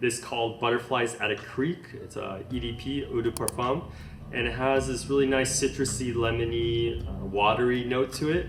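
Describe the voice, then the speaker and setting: The speaker uses an American accent, a moderate pace and fairly even intonation. Noticeable background noise and audible room echo are present. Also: man, medium pitch for a man. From US West Coast, Los Angeles (Palos Verdes). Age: 30s. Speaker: fashion content creator. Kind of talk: casual Q&A vlog.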